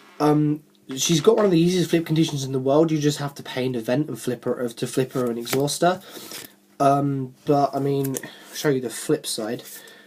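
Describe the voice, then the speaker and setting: A man talks at a moderate pace, with noticeable background noise audible throughout. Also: fairly high pitch for a man, ordinary pitch variation. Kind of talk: casual talk to camera, card game deck discussion. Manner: hesitant, stuttering.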